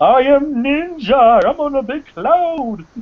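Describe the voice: Someone speaks in a high-pitched, put-on character voice at a fairly slow pace.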